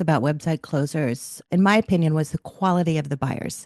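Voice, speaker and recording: With a plain, everyday voice, a woman of fairly low pitch talks at a fairly quick pace, recorded with a dry, close sound and no echo. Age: 60s. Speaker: business owner selling her company. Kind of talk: testimonial interview. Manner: conversational with fillers.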